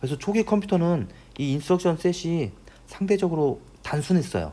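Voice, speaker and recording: A man is the speaker. His voice has a dark, mellow tone. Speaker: university professor. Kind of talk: lecture. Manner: fast.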